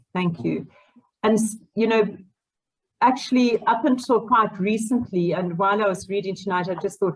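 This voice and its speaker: At a moderate pace, a woman speaks in a somewhat breathy, medium-pitched voice with ordinary pitch variation. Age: 50s. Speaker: author. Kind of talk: casual chat.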